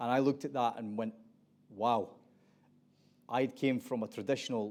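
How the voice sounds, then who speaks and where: A man with an Aberdeen accent speaks at medium pitch and a moderate pace, in a dark, mellow tone. His intonation is monotone and flat, and the recording is very clean with a silent background. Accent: Aberdeen Scottish. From Scotland, Aberdeen. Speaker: panel moderator. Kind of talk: panel discussion moderation.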